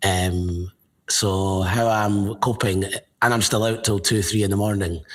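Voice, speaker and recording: A man with a Scottish accent speaks fairly slowly in a monotone, flat intonation at very even loudness, on a very clean recording with a silent background. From Scotland, Edinburgh. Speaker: football fan. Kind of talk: casual chat.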